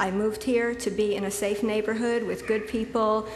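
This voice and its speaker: Noticeable background noise and audible room echo surround a woman's fairly high voice. She has an American accent and a monotone, flat intonation. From Connecticut. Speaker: local resident. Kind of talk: public comment at zoning hearing. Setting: public meeting room.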